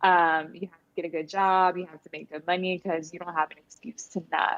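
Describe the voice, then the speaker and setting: A woman speaks in a Spanish accent with fairly low pitch and monotone, flat intonation. The sound is dry and close, without echo. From US, Honduran American family. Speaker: podcast host and entrepreneur. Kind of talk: interview.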